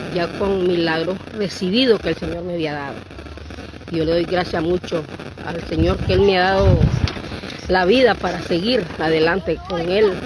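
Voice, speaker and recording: Speaking at a moderate pace in a fairly low voice, a woman is recorded with a dry sound with no echo but noticeable background noise. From Nicaragua. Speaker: pilgrim; interviewee. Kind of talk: testimony. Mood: devout, grateful. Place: open country. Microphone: handheld.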